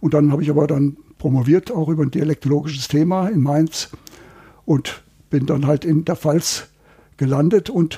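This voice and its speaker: The man's voice has a dark, mellow tone. Nothing can be heard behind it on this very clean recording. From Hesse, Germany. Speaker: dialect researcher. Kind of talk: interview.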